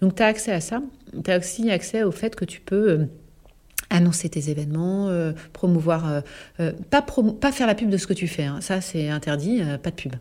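A woman at medium pitch and moderate pace, lively intonation, long and frequent pauses. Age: 40s. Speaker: health network founder, former public health official. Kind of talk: casual interview. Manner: animated.

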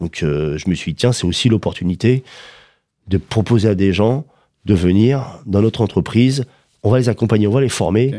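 In a very clean recording with a silent background, a man talks at a moderate pace with long, frequent pauses. His fairly low voice is dark and mellow, with ordinary pitch variation. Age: 50s. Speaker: company founder. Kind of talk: interview. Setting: office. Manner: hesitant, with fillers.

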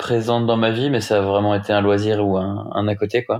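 In a quiet background, a man speaks with a fairly low pitch at a moderate pace. His intonation stays monotone and flat. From Brittany, France (Rennes). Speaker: offshore sailing skipper. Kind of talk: casual interview. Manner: halting, many fillers.

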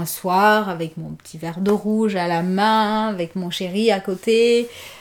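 A woman is speaking. Her pace is very slow. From Guinea, Conakry. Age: 30s. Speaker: mother and podcast guest. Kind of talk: casual interview.

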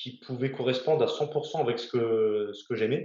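The delivery comes at a fairly slow pace. It sounds somewhat breathy. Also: man. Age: 30s. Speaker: navy helicopter rescue diver. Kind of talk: interview. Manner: halting, many hesitations.

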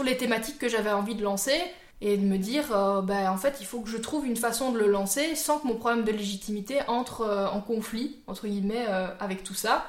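A woman's fairly high voice, with ordinary pitch variation and a moderate pace, comes through audible room echo and noticeable background noise. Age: 20s. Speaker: YouTuber. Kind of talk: casual chat.

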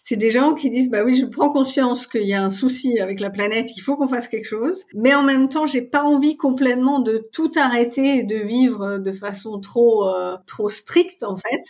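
A moderate pace with ordinary pitch variation. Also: woman, high pitch for a woman. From Paris region, France. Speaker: marketing manager. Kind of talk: interview. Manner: hesitant, many fillers.

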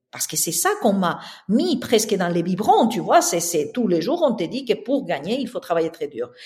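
This woman's somewhat breathy voice swings very widely in pitch. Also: medium pitch for a woman, moderate pace. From southern Spain. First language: Spanish (speaking French). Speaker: interior architect and entrepreneur. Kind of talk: interview. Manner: halting.

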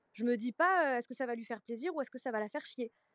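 Talking at a very fast pace, a woman uses lively intonation and a high pitch. The sound is dry and close with no echo. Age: 20s. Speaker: social media content creator. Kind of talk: casual chat.

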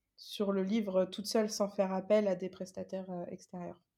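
In a very clean recording with a silent background, a woman speaks at a moderate pace and medium pitch with a dark, mellow tone. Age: 20s. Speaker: self-published novelist and illustrator. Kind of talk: interview.

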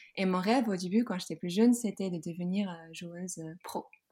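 Somewhat breathy and dark, mellow in tone, a woman talks at medium pitch and a moderate pace with ordinary pitch variation on a very clean recording with a silent background. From Netherlands, Groningen. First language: Dutch (speaking French). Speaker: yoga teacher and clothing entrepreneur. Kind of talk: casual interview. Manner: halting, many repetitions and fillers.

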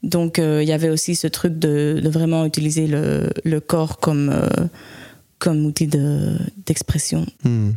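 At a very slow pace, a dark, mellow voice keeps very even loudness and fairly even intonation. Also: woman, very deep, low pitch for a woman. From Spain. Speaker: jazz saxophonist. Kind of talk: interview. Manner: halting.

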